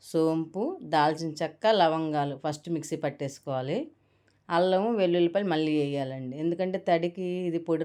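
Very deep and low, a woman's voice carries ordinary pitch variation. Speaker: cooking channel host. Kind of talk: cooking tutorial.

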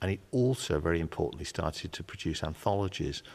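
This man talks at a fairly quick pace with vocal fry. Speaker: interviewee. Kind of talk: interview answer.

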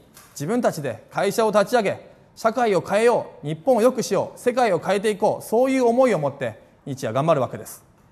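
A man speaks at a fairly quick pace in a high voice, his pitch swinging very widely and his loudness rising and falling in big swings. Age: 30s. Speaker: politician, parliamentary candidate; politician, candidate. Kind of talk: campaign speech. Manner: formal. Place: cafe.

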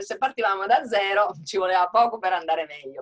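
Against a quiet background, a woman talks at a fairly quick pace with lively intonation and an animated tone. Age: 60s. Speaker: hotelier and author; webinar panelist. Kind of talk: webinar panel discussion. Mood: earnest, appealing. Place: home room. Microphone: video call.

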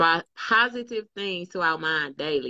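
The tone is bright and sharp, and the pace is fairly slow. The sound is dry with no echo, over a quiet background. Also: woman. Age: 40s. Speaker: fitness group leader; motivational vlogger. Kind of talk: casual chat. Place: home room. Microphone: phone near.

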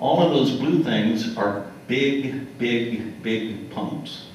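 Amid light background noise and audible room echo, a man with an American accent speaks at a very slow pace. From US South Central (Kansas, Oklahoma, Texas). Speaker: retired geologist. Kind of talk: lecture. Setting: stage with audience. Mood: relaxed, wry. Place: hall.

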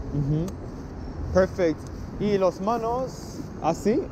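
A man's animated, high voice with ordinary pitch variation, over noticeable background noise. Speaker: YouTube street photographer. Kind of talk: casual vlog, directing photo subjects. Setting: outdoors on city streets. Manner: animated, encouraging. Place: street. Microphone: phone near.

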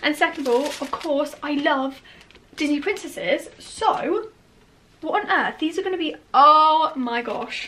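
Raising and projecting her high-pitched voice, a woman speaks at a fairly slow pace with lively intonation over light background noise. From England. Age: young. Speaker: vlogger. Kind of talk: vlog. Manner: animated. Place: home room. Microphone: phone near.

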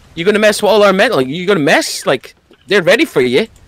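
A man's high voice, fast and full of lively intonation.

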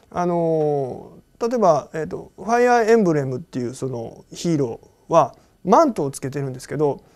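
Against a quiet background, a man talks at a moderate pace in a fairly high pitch, with very wide pitch swings and big swings in loudness. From Japan. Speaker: anime producer. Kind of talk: interview; interview answer. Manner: frequent filler pauses. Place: office.

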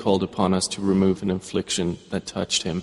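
A man speaks at a very fast pace. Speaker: English translation voice-over reader. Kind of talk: Quran translation reading, measured narration.

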